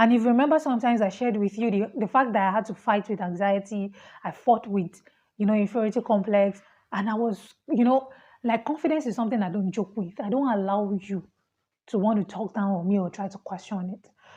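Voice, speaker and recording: Against a quiet background, a woman with a Nigerian accent speaks very fast at a medium pitch, her somewhat breathy, dark, mellow tone showing ordinary pitch variation and big swings in loudness. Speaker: international student vlogger. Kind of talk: personal vlog, casual talk to camera. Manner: animated.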